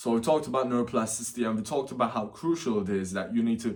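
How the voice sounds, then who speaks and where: A man with a non-native accent, medium pitch and ordinary pitch variation. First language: not English. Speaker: self-improvement youtuber. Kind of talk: casual vlog advice. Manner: unscripted, with fillers.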